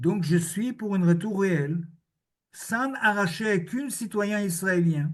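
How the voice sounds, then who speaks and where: A man with a high voice talks very slowly, his pitch varying in an ordinary way. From Israel. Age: 70s. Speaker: historian and author. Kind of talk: conference Q&A answer. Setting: video link to public conference.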